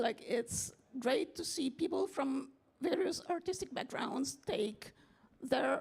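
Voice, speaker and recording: Very wide pitch swings at a fairly slow pace over noticeable background noise. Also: woman. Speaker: translator and writer. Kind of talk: panel discussion.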